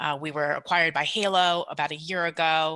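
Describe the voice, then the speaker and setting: A woman with a New York accent speaks with a very deep, low pitch and a bright, sharp tone, her intonation fairly even. The recording is very clean and the background silent. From New York, Long Island. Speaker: promotional products salesperson. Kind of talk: podcast interview. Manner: fast.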